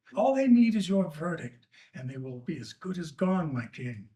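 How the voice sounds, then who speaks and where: Using a put-on character voice, a man speaks at a moderate pace with a high pitch, very wide pitch swings and big swings in loudness. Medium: stage play. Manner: firm, earnest.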